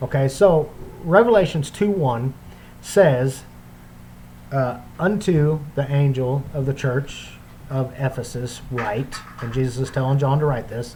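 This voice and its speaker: Room echo is audible as a man talks at a fairly slow pace with long, frequent pauses. His voice is fairly high in pitch. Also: ordinary pitch variation. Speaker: bible teacher. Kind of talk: bible study lecture. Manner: hesitant, many fillers.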